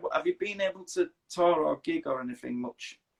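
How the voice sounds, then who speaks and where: A man with a Yorkshire accent talks at a moderate pace in a high pitch with very wide swings. The recording is dry and close, with no echo. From northern England, Leeds, Yorkshire. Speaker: interviewer. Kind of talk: casual interview chat. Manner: halting, repeats words.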